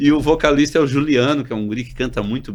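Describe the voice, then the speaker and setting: A man talks at a fairly quick pace in a normal speaking voice with ordinary pitch variation. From Santa Catarina coast, Brazil (Itajaí). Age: 60s. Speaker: doctor and health cooperative executive. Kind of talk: casual chat.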